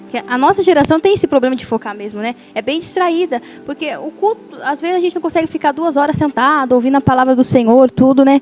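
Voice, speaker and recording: A woman's high-pitched voice at a very fast pace, dry and close with no echo, ordinary pitch variation, music in the background. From Brazil, São Paulo state. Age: young. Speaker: preacher. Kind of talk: casual chat.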